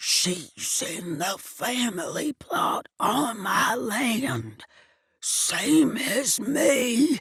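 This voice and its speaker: This put-on character voice is fairly high, wheezy and raspy, and moves at a very slow pace. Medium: read story. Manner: wheezing, through gritted teeth.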